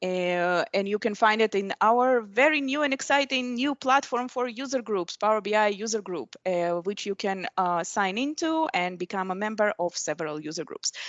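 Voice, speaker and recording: A moderate pace and lively intonation, hardly any pauses between words. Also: woman, fairly high pitch for a woman. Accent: non-native. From Middle East. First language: not English. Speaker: software program manager and conference speaker. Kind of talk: technical presentation. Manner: hesitant, many fillers.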